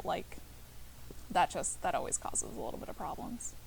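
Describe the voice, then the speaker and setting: The woman here is soft-spoken. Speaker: streamer. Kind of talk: casual chat. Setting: livestream from couch. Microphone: laptop mic, very quiet.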